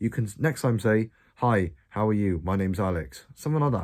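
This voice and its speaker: A man's somewhat breathy voice, dark and mellow in tone, with very wide pitch swings at a moderate pace, on a very clean recording with a silent background. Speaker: self-improvement youtuber. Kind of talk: casual vlog advice. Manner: stuttering.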